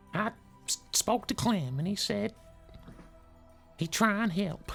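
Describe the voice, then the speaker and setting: A woman in a put-on character voice, medium in pitch, with lively intonation at a fairly slow pace over clear background music. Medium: actual play. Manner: halting, rambling.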